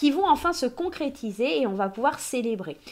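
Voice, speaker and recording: Her voice high-pitched and her tone animated, a woman speaks with lively intonation. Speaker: tarot card reader. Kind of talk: oracle card reading. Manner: loud. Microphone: new microphone.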